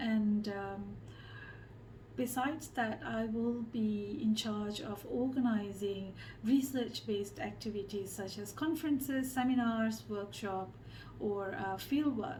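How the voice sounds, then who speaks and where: Speaking at a very slow pace, a woman with a fairly high pitch uses ordinary pitch variation amid audible room echo. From Malaysia. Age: 30s. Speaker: social researcher and designer. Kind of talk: interview monologue. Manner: hesitant, many fillers.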